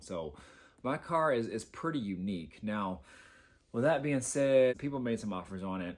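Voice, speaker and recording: Speaking at a fairly quick pace with lively intonation, a man is heard on a very clean recording with a silent background. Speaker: car enthusiast vlogger. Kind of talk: casual vlog update. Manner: speaking softly; hesitant, many fillers.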